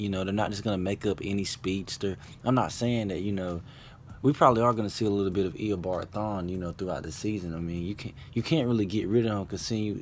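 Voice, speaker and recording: A normal speaking voice is heard here. It goes at a fairly quick pace with ordinary pitch variation. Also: man. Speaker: YouTube TV show reviewer. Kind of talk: casual video review.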